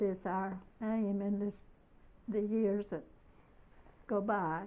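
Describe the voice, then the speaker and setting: A woman talks at a very slow pace. Her tone is dark and mellow. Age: 80s+. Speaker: elderly woman telling her life story. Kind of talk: reading aloud a personal memoir. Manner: halting, with self-corrections.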